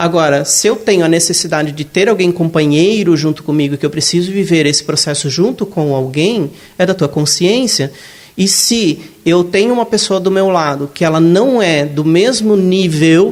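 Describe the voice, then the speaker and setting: A man with a high pitch and ordinary pitch variation speaks at a very even loudness. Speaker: spiritist lecturer. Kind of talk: lecture.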